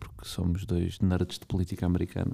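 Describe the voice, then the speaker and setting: A man with a European Portuguese accent speaks very fast in a very deep, low pitch, his dark, mellow tone held in a flat monotone. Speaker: political commentator. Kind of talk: interview.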